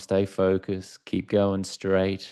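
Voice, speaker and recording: A very slow voice with an Australian accent, dark, mellow tone and a quiet background. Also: man. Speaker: author and former sports TV anchor. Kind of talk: podcast interview.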